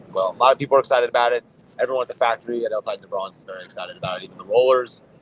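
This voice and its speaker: Amid noticeable background noise, a man talks at a very fast pace with big swings in loudness, in a dry, close sound with no echo. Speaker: cigar brand owner. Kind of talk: trade show interview. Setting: trade show floor.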